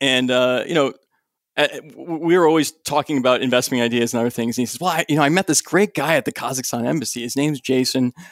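At a fairly quick pace, a man with vocal fry and a medium pitch talks with ordinary pitch variation in a dry, close sound with no echo. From moved often; Germany and Massachusetts. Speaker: stock analyst. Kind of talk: casual interview. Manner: halting.

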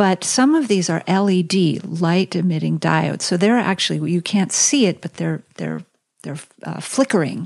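Speaking with an American accent, the woman keeps a moderate pace. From United States. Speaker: cookbook author. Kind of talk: casual interview chat. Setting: in person. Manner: halting with fillers.

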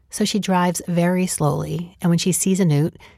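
A woman with a normal speaking voice and fairly low pitch talks at a moderate pace. The recording is very clean and the background silent. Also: dry, close sound with no echo. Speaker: podcast host and producer. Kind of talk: scripted narration.

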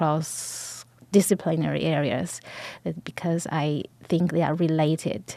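A woman with a Chinese accent speaks at a fairly slow pace with fairly even intonation. Her pitch is fairly low and her tone dark and mellow. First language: Mandarin Chinese. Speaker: professor. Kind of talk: interview.

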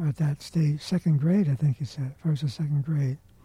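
This man's voice is fairly high and has a dark, mellow tone. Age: 80s+. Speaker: podcast host. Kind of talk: casual chat. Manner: halting.

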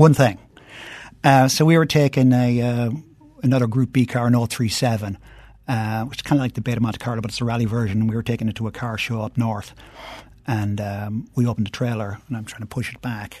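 Speaking with an Irish accent, a man of medium pitch moves at a fairly quick pace. His intonation is fairly even. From Ireland. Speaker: entrepreneur and car collector. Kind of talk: casual chat.

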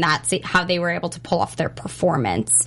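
A woman's normal speaking voice, fairly low in pitch, at a fairly quick pace. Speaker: interviewer host. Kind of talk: casual interview. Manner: upbeat, chatty.

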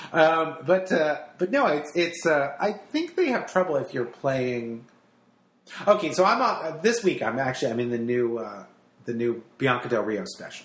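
Over noticeable background noise, a man with an American accent talks at a moderate pace, his fairly high pitch swinging very widely. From New Jersey. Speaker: radio host and stand-up comic. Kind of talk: casual chat. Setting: in a home.

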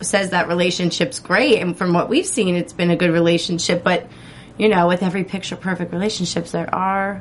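Over music in the background, a woman with an American accent talks at a moderate pace and a medium pitch. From New Jersey. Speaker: aftershow podcast co-host. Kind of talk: casual chat.

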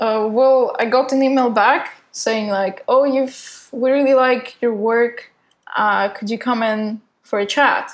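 A woman with a non-native accent speaks at a very slow pace. Her voice is high-pitched, with fairly even intonation. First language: not English. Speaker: designer and animator. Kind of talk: casual interview.

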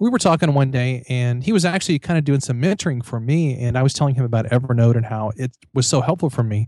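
A man with an American accent speaks at a fairly quick pace in an ordinary speaking voice at medium pitch with ordinary pitch variation, on a very clean recording with a silent background and a dry, close sound with no echo. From Missouri, US Midwest. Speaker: author and professor. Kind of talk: casual interview chat.

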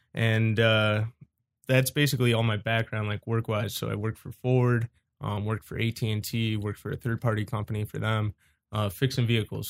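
Here a man with an Ohio accent talks at a fairly quick pace and medium pitch, his intonation monotone and flat. The sound is dry and close with no echo, on a very clean recording with a silent background. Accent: Midwestern American (Ohio). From Cleveland, Ohio. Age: 20s. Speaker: drone racer and quad builder. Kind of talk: casual chat.

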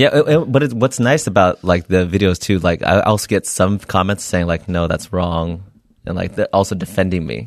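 With a West Coast accent, a man speaks at a moderate pace in a very deep, low voice with lively intonation. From California, Bay Area (Milpitas). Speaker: comedian and former ER tech. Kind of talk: casual interview chat.

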